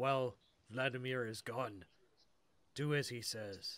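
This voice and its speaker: A man in a put-on character voice, medium in pitch, at a fairly slow pace. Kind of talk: fantasy game-master character voice. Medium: actual play. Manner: solemn, grave.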